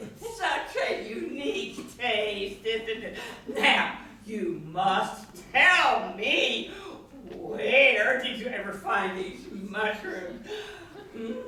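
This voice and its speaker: Pitched fairly high, a put-on character voice goes at a very slow pace with a slight echo. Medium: stage play. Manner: gracious, effusive.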